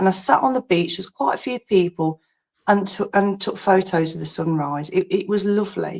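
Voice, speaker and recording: A woman talks at a moderate pace with an English accent. Her medium pitch shows ordinary pitch variation in a dry, close sound with no echo. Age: 50s. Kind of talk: casual chat.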